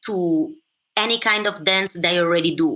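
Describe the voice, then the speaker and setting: A bright, sharp tone in an Italian accent. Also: woman. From Italy. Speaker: dancehall dancer and teacher. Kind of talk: podcast interview. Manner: halting.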